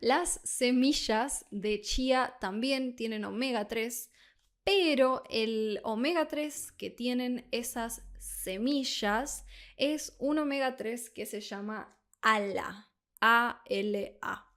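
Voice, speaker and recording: A woman with an Argentine accent, high-pitched, at a very slow pace, on a very clean recording with a silent background. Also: ordinary pitch variation. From Argentina, Buenos Aires. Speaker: Spanish tutor. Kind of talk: tutorial.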